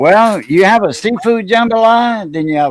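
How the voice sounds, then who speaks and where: A man speaks with a Louisiana accent. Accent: Cajun Louisiana. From Southwest Louisiana (Cajun coast, south of Lafayette). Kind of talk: casual chat.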